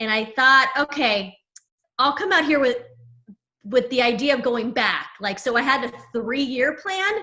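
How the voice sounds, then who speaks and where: In an American accent, a woman with a high pitch uses a raised, projected voice and lively intonation at a fairly slow pace. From US West Coast, San Diego. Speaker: personal branding coach. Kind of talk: podcast interview.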